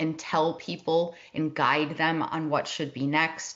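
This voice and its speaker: In a Midwestern accent, a woman speaks at a moderate pace with a fairly low pitch. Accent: Midwest. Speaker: tech and operations consultant for advisory firms. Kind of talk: webinar presentation.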